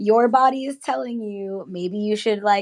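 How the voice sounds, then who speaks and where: Against a quiet background, a woman with an American accent speaks in an animated tone at a moderate pace and medium pitch. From Boston, Massachusetts (Jamaica Plain, Roxbury, South End). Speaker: actress and producer. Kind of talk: casual interview chat.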